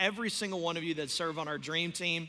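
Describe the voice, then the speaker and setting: A man with fairly even intonation. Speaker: pastor. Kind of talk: church announcements. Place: stage.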